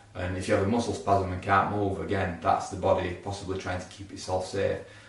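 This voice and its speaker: Fairly low-pitched and monotone, a man talks in a Yorkshire accent. Noticeable background noise runs behind him. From Yorkshire, England. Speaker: osteopath. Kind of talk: casual talk to camera.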